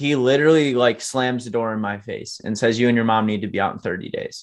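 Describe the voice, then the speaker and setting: In a normal speaking voice with an American accent, a man talks fairly quickly at a medium pitch with ordinary pitch variation. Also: quiet background. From Michigan. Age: 20s. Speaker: entrepreneur. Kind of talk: testimony.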